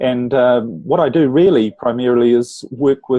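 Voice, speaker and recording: This voice belongs to a man. His speech carries a New Zealand accent. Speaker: relationship coach. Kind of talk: interview podcast.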